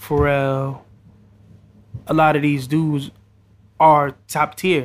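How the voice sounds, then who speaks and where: The speaker is a man with an American accent. His voice is fairly high in pitch, and his pace is fairly slow. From New York, the Bronx. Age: 20s. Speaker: rapper. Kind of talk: casual interview.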